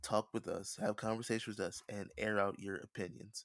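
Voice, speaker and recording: A man with a fairly low voice speaks at a fairly quick pace in a very clean recording with a silent background and a dry, close sound with no echo. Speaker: podcast host. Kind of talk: casual chat. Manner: fast talker.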